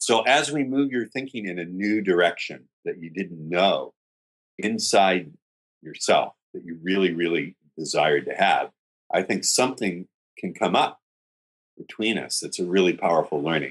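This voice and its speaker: Here a man has an ordinary speaking voice, pitched fairly low, at a moderate pace. His intonation is lively, with big swings in loudness. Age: 50s. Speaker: dating coach. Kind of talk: interview.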